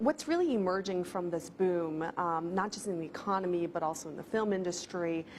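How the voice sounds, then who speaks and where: A woman with a plain, everyday voice talks at a fairly low pitch and a fairly quick pace, with ordinary pitch variation and hardly any pauses. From China, moved to the US at eight. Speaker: TV culture reporter. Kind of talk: TV interview.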